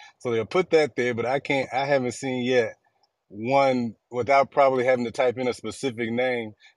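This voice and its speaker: A man with an American accent talks at a moderate pace and medium pitch in an ordinary speaking voice, with fairly even intonation, a quiet background and a dry, close sound with no echo. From Washington DC area (US). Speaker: panelist in live audio room. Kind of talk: casual discussion. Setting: online audio room.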